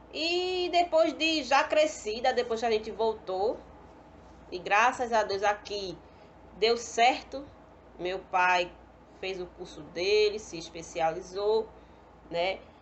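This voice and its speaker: Speaking at a very slow pace with long, frequent pauses, a woman with a fairly high pitch swings very widely in pitch and greatly in loudness. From Pernambuco, northeast Brazil. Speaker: pedagogy student. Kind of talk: personal testimony.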